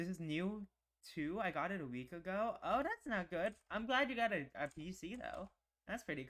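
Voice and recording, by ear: Reading aloud in a natural voice with lively intonation, over a quiet background.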